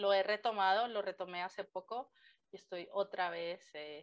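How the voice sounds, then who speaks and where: Over a quiet background, the speech moves at a fairly slow pace. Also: woman. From Colombia. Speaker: language teacher. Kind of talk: interview.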